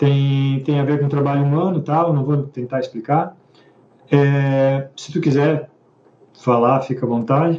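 A man talks fairly slowly, his voice fairly high in pitch. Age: 50s. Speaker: book club host, musician and tech worker. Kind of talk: casual chat. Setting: live stream. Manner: hesitant, repetitive.

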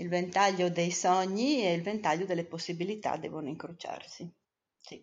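A woman with a fairly low pitch and an ordinary speaking voice talks at a moderate pace, showing ordinary pitch variation and big swings in loudness. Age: 60s. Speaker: mother of the co-host. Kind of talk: casual interview.

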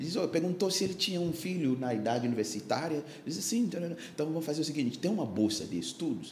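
With audible room echo and noticeable background noise, a man talks at a very fast pace in a fairly high pitch. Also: lively intonation. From Ghana, Accra. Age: 60s. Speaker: pastor. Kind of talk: casual chat. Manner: halting.

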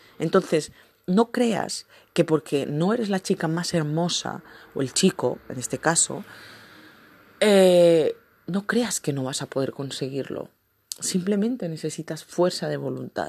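Her voice fairly low and her intonation lively, a woman speaks at a fairly slow pace with long, frequent pauses in a dry, close sound with no echo. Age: 20s. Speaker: podcast host. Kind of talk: motivational talk.

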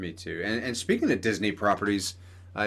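With a normal speaking voice, a man talks at a fairly quick pace and fairly low pitch. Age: 30s. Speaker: podcast host and cosplayer. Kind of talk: casual chat.

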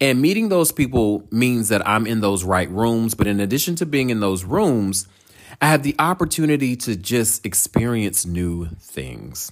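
With an animated tone, a man speaks at a moderate pace in a medium-pitched voice. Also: lively intonation. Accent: American. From North Carolina, Durham. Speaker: podcast host. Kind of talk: casual solo monologue.

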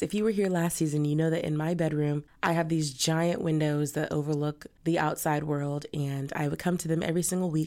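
The voice has an animated tone. The recording is very clean, with a silent background. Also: woman. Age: 20s. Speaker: podcast host and home baker. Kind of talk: casual monologue; recipe instructions.

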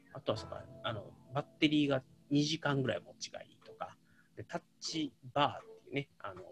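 The recording is close and dry, without echo. A man speaks fairly quickly. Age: 30s. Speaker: podcaster. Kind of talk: solo monologue livestream. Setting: home livestream with background music. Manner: halting, many fillers.

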